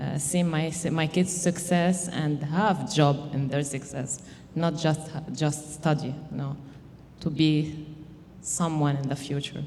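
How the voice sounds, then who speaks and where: Very slowly, a woman speaks in a very deep, low voice with a non-native accent. Her delivery is flat and monotone, and room echo is audible. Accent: non-native English speaker. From Lebanon. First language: Arabic. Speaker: mother and immigrant housing program participant. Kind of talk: personal testimony. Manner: halting.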